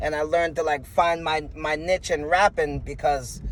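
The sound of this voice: A man's fairly high voice at a moderate pace, with fairly even intonation.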